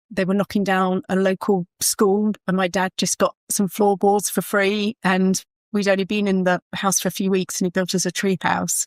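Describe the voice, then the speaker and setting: In a Kent accent, a woman speaks with hardly any pauses and monotone, flat intonation, in a dry, close sound with no echo on a very clean recording with a silent background. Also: medium pitch for a woman, moderate pace, very even loudness. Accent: southern English (Kent), noticeable. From southern England, Kent. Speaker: property stager, business founder. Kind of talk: podcast interview.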